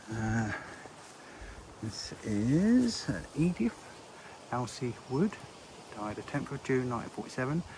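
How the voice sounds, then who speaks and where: The quiet voice has lively intonation and a fairly slow pace, broken by long, frequent pauses over noticeable background noise. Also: man, medium pitch for a man. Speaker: graveyard vlogger. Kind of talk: walking vlog, reading gravestones. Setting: outdoors in a churchyard. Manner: quiet, hushed.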